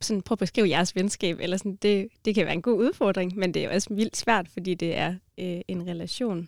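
A woman's ordinary speaking voice at a medium pitch with fairly even intonation, dry and close with no echo, on a very clean recording with a silent background. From Denmark, Grenaa area. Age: 20s. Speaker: student and mission organisation worker. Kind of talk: casual chat about faith.

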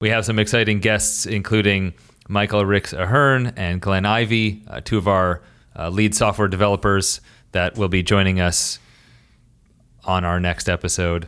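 A man speaks in a plain, everyday voice with a fairly low pitch and fairly even intonation at a moderate pace. The recording is very clean with a silent background. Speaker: podcast host. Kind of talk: casual interview.

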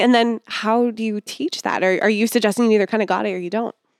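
A woman speaks in an ordinary speaking voice at a fairly high pitch, with a dry, close sound with no echo and a very clean recording with a silent background. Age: 30s. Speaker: podcast host. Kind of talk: casual interview chat. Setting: studio.

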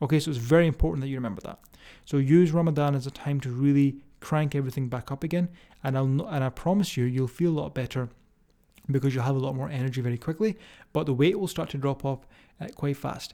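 A man's fairly high, dark and mellow voice at a very fast pace, on a very clean recording with a silent background. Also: ordinary pitch variation. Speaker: fitness coach and podcast host. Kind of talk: solo podcast monologue. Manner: rambling, filler-heavy; animated, emphatic.

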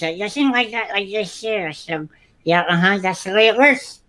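This is a put-on character voice. It sounds female and sits at a medium pitch. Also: moderate pace. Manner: altered pronunciation with cheeks pushed out.

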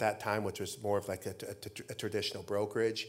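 A man with an American accent and a plain, everyday voice, fairly low in pitch, at a fairly quick pace in a very clean recording with a silent background. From Idaho, US. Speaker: real estate company CEO. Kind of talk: on-stage interview. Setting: stage with audience. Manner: repetitive false starts.

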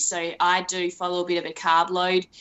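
A woman with an Australian accent speaks at a moderate pace in a fairly low voice. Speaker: elite marathon runner. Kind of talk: casual interview chat.

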